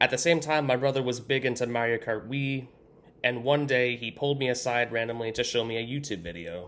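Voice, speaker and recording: A man at a fairly quick pace, medium pitch, ordinary pitch variation and a normal speaking voice. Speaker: YouTube content creator. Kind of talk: scripted personal story read to camera.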